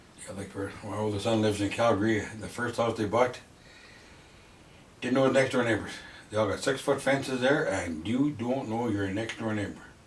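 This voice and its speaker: Audible room echo and noticeable background noise surround a man at medium pitch. He speaks at a fairly quick pace with fairly even intonation and long, frequent pauses. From western Canada (Fernie, BC), Italian-born. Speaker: longtime local resident. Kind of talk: interview.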